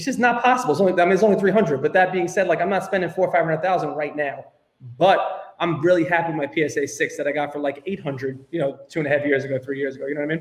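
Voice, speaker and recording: A man with a Brooklyn accent talks very fast in a high voice. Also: ordinary pitch variation. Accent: New York (Brooklyn). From New York, Brooklyn. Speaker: tech startup co-founder. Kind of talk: podcast interview.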